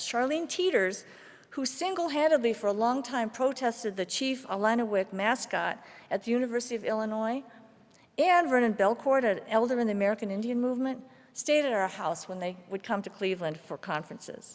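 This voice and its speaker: In a normal speaking voice, a woman with a fairly high pitch talks at a fairly quick pace with lively intonation. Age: 60s. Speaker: guest preacher and activist. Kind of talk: sermon.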